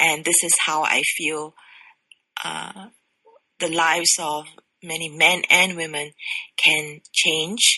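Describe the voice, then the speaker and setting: A woman's very deep, low voice, very slow with long, frequent pauses and monotone, flat intonation. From Singapore. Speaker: sexologist. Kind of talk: interview.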